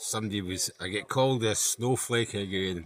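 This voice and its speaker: With a Scottish accent, a man speaks at a moderate pace and fairly low pitch, his intonation fairly even. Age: 60s. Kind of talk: casual talk to camera.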